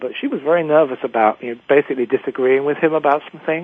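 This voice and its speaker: Speaking very fast with an English accent, a man keeps a fairly high pitch and fairly even intonation. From England. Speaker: executive coach and author. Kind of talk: interview.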